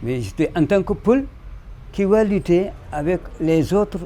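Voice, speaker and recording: Slow-ish and high-pitched, a man speaks with lively intonation. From Senegal, Casamance (Kassa region). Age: 70s. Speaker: traditional musician. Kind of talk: interview testimony. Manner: halting, with repetitions.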